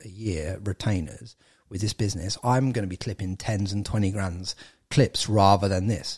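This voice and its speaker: On a very clean recording with a silent background, a man with an English accent talks at a moderate pace, his dark, mellow tone somewhat breathy. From England. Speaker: entrepreneur and podcaster. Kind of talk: casual interview chat.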